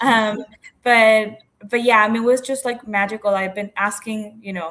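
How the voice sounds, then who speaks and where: Monotone, flat intonation from a woman with a Spanish accent. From Mexico. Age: 30s. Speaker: entrepreneur. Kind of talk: interview.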